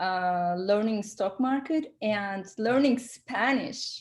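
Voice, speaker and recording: The speaker is a woman with a non-native accent. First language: not English. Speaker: entrepreneur and consultant. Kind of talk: interview. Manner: halting, many fillers.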